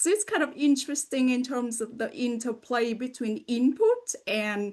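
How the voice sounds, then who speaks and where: Speaking at a moderate pace with lively intonation, a woman with a slight Vietnamese accent talks against a quiet background. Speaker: podcast host and language education researcher. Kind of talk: interview conversation.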